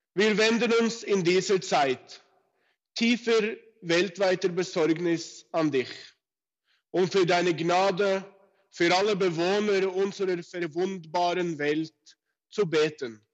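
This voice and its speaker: Speaking very slowly with long, frequent pauses, a man uses a high pitch and very even loudness. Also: ordinary pitch variation. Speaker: rabbi. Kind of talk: prayer. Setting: phone call. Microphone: telephone line.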